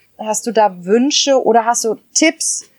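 A woman's ordinary speaking voice, fairly high in pitch, at a fairly slow pace with fairly even intonation and a dry, close sound with no echo. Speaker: podcast host. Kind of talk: casual interview. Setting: garden office.

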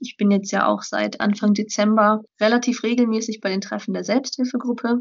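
Her delivery is fairly quick, flat and monotone. This woman sounds somewhat breathy. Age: 20s. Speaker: student and blogger. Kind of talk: interview.

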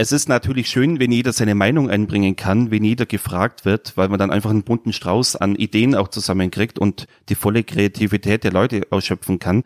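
With a plain, everyday voice, a man talks at a fairly quick pace with hardly any pauses, fairly low pitch, ordinary pitch variation and very even loudness, in a dry, close, very clean recording with no echo and a silent background. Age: 30s. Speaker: new party member. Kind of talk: interview.

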